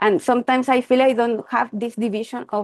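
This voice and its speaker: In a Chilean accent, a woman speaks at a moderate pace and a fairly high pitch with ordinary pitch variation, the sound dry and close with no echo. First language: Spanish. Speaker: meditation practitioner. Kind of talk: group Q&A call.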